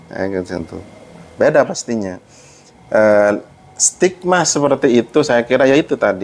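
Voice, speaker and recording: A man talks at a fairly slow pace with long, frequent pauses. His medium pitch swings very widely over noticeable background noise. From Madura, Sumenep. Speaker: university librarian. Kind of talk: podcast interview. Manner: halting, many fillers.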